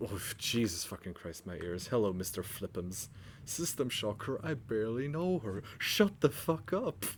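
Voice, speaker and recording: A man at a medium pitch speaks at a moderate pace, with very wide pitch swings and big swings in loudness. The recording is very clean, with a silent background. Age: 20s. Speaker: video game streamer. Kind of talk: casual live-stream chat while gaming. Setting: live stream with chat audience. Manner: hesitant, many fillers.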